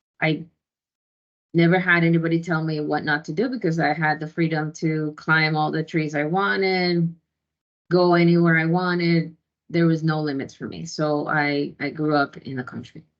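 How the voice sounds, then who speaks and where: With a Spanish accent, a woman speaks in a very deep, low pitch. Her pace is moderate and her intonation fairly even. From Ecuador. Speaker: database administrator and tech founder. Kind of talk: conference talk. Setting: video call.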